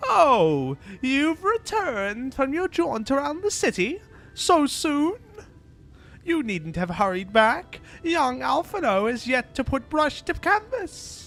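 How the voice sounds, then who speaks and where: A man puts on a character voice with an extremely high pitch and very wide pitch swings. He speaks at a fairly slow pace. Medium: game stream.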